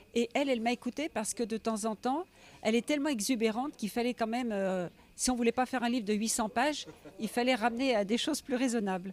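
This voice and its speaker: A woman's fairly high voice at a very fast pace, with ordinary pitch variation and a dry, close sound free of echo. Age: 60s. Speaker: writer, biographer. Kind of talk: interview. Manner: hesitant, with many fillers.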